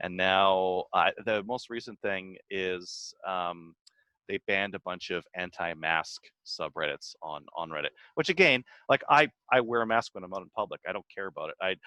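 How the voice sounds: A man with a low pitch speaks at a moderate pace with ordinary pitch variation, his tone bright and sharp yet clear and smooth, in a dry, close sound with no echo.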